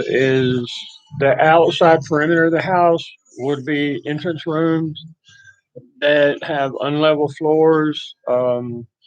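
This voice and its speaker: A man with a Texas accent speaks at a very slow pace. His pitch is fairly high and his intonation fairly even. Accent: rural Texas Southern. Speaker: livestreamer. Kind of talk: casual chat.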